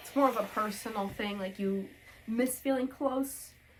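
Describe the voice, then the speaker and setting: Her voice is somewhat breathy, and this woman speaks with ordinary pitch variation. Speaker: homemaking vlogger. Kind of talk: casual chat while ironing.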